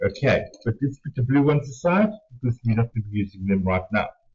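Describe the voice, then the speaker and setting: A man talks at a very fast pace in a somewhat breathy voice. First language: not English. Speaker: art tutorial host. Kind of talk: tutorial. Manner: hesitant, many fillers.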